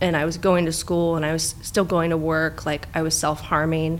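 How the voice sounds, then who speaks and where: A woman with an American accent at a moderate pace. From Orange County, California. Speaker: therapist. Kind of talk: personal testimony in interview.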